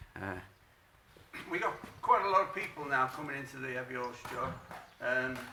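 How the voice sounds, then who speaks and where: Noticeable background noise and audible room echo surround a man with a fairly high pitch. He uses lively intonation and leaves long, frequent pauses. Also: moderate pace, big swings in loudness. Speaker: horse trainer. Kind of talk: tutorial. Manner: halting, many fillers.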